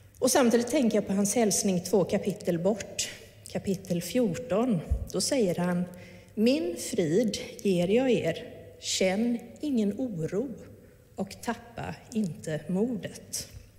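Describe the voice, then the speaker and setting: A woman speaks at a very slow pace. Noticeable background noise runs under her voice. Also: medium pitch for a woman, lively intonation. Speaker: pastor. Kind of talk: sermon.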